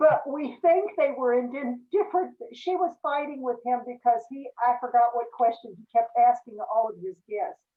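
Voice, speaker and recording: A high-pitched woman's voice at a moderate pace, lively in intonation, with big swings in loudness and hardly any pauses. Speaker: club president chairing meeting. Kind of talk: club meeting on video call. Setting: video call. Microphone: volume issues.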